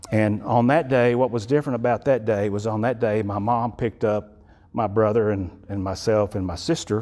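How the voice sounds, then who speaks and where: A man speaks in a Texan accent at a fairly quick pace. His tone is dark and mellow. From Texas (Electra / Wichita Falls, north Texas). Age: 60s. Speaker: guest speaker. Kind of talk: testimony. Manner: halting, with repetitions.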